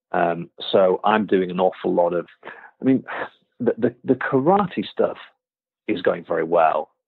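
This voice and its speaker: A man with a Yorkshire accent speaks at a fairly slow pace, pausing long and often. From Yorkshire, England. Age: 40s. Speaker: karate instructor. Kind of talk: interview conversation. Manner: halting, many fillers and repeated words.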